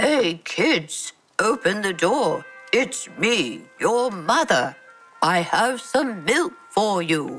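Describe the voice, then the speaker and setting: A put-on character voice, husky and fairly high in pitch, moves at a fairly slow pace. Faint music sounds in the background. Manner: sweet, feigned.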